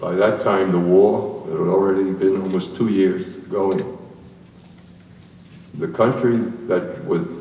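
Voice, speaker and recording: With an American accent, the speaker talks at a fairly slow pace with long, frequent pauses and fairly even intonation, amid audible room echo and noticeable background noise. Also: man, very deep, low pitch for a man. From New York City (Brooklyn). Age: 80s+. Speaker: war veteran. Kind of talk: presentation to school audience.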